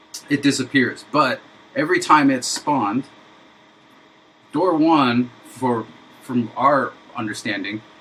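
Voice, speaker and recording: Amid noticeable background noise, a man speaks at a fairly slow pace with ordinary pitch variation. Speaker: indie game developer streamer. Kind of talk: live coding stream tutorial. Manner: halting, many fillers.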